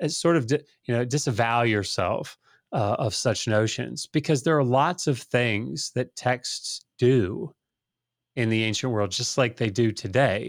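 A man's normal speaking voice at medium pitch and a fairly slow pace, with ordinary pitch variation. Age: 40s. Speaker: scholar of the ancient Near East. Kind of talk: casual interview.

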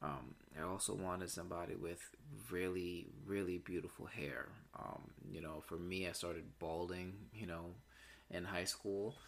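Speaking at a moderate pace, a man with a very deep, low pitch shows ordinary pitch variation and vocal fry. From Puerto Rican heritage, US. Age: 30s. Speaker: podcast host. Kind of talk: casual monologue. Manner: hesitant, many fillers.

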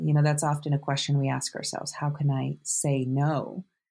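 A woman talks at a moderate pace on a very clean recording with a silent background. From rural Canada and Vermont. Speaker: author and hiker. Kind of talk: interview.

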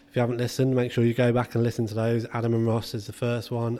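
A man with an English accent, medium in pitch, dark and mellow in tone, at a very fast pace. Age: 30s. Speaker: podcast host, football physio. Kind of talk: casual chat.

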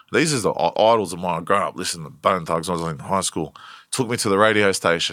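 Talking at a very fast pace in a strong Australian accent, a man with a fairly low, bright, sharp voice shows ordinary pitch variation in a very clean recording with a silent background. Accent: broad Australian. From Western Sydney, Australia (Blacktown). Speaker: rapper. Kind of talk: casual interview.

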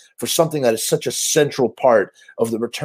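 Natural-voiced reading aloud, with pitch that varies in an ordinary way

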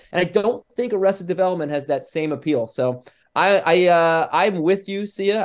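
A man is speaking. His pace is fairly quick. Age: 30s. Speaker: podcast guest. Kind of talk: casual chat. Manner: halting.

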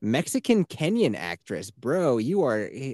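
A man's medium-pitched voice with very wide pitch swings and vocal fry, over a quiet background. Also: dry, close sound with no echo. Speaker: podcast host. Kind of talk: casual chat. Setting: video call. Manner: animated, laughs often.

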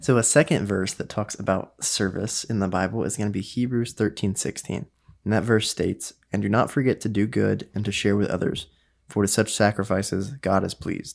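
A man's ordinary speaking voice, fairly low in pitch, with ordinary pitch variation, moderate pace and a quiet background. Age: 20s. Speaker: recent college graduate, podcast guest. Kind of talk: casual faith discussion.

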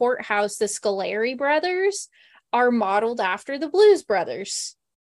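A woman with an American accent speaks at high pitch against a quiet background. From Oklahoma. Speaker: podcast host. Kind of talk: casual chat. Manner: animated.

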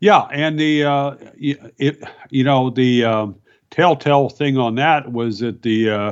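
A man speaks at a fairly slow pace in an ordinary speaking voice, with ordinary pitch variation. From Virginia mountains. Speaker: journalist and author. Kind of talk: interview.

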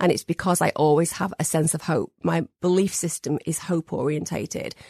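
A woman speaks at a fairly quick pace and fairly low pitch with fairly even intonation. The sound is dry and close with no echo, over a quiet background. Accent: northern English. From northern England. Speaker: therapist. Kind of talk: interview.

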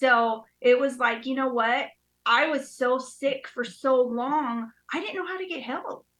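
With an American accent, a woman talks at a fairly slow pace and a high pitch. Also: ordinary pitch variation. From New York (Queens), then Utah from age 11. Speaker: recovering addict sharing her story. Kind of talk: testimony.

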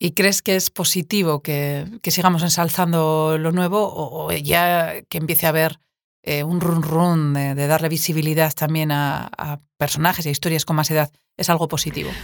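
A woman's very deep, low voice, flat and monotone, at a moderate pace. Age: 40s. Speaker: podcast host and writer. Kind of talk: interview.

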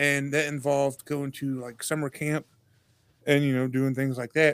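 Here a man speaks with a fairly high pitch. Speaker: podcast host. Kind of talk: casual chat.

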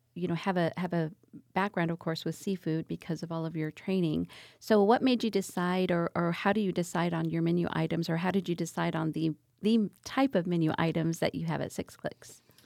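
Recorded very cleanly against a silent background, with a dry, close sound and no echo, a woman with a plain, everyday voice speaks at a moderate pace and a fairly low pitch. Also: fairly even intonation. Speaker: podcast co-host promoting local restaurants. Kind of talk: casual interview. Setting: podcast studio.

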